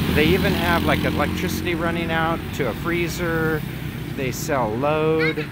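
The man talks at a fairly slow pace, with a dry sound and no echo. Loud background noise is present. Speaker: travel vlogger. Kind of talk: casual vlog chat. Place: street. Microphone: phone near.

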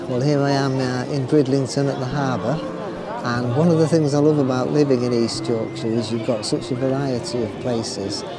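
A man speaks at a moderate pace, the sound dry with no echo, while loud background noise carries on. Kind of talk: casual vlog chat. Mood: cheerful, relaxed. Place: waterside. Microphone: phone near.

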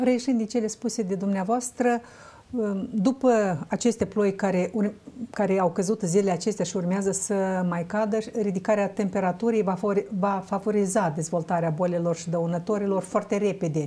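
A woman speaks at a moderate pace, her voice somewhat breathy with a dark, mellow tone. Her intonation stays fairly even. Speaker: talk show host. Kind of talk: studio talk show interview. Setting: studio. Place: studio. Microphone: lapel.

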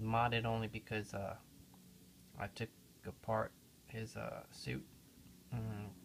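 Spoken at a fairly slow pace, the clip carries noticeable background noise. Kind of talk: casual walkthrough commentary. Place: home room. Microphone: phone near.

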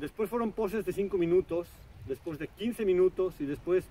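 A man speaks at a high pitch with a dark, mellow tone and ordinary pitch variation. The sound is dry with no echo, with light background noise. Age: 40s. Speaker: artist and video blogger; video blogger. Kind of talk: casual vlog monologue. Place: waterside.

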